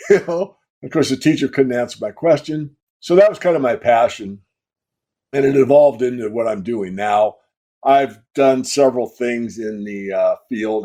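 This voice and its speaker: Speaking at a moderate pace, a man with an American accent has a dark, mellow tone. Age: 70s. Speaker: precious metals analyst. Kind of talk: interview.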